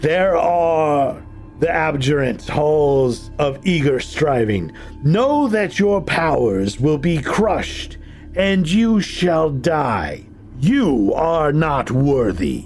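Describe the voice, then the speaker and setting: Over clear music in the background, a man does a put-on character voice at a very slow pace and a fairly high pitch. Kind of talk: archaic, grandiose.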